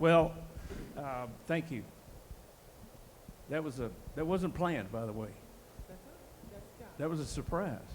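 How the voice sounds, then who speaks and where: A man with an American accent speaks at a fairly slow pace, leaving long, frequent pauses. His fairly high pitch carries lively intonation against audible room echo. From US South, Dallas, Texas. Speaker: war veteran. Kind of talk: testimony.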